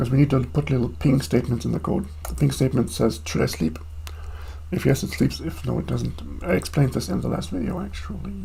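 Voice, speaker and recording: Over noticeable background noise, a man with a non-native accent talks at a very fast pace, his very deep, low pitch making very wide pitch swings. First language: not English. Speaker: programmer streaming own coding. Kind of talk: live coding stream. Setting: home desk, live stream. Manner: casual, with fillers.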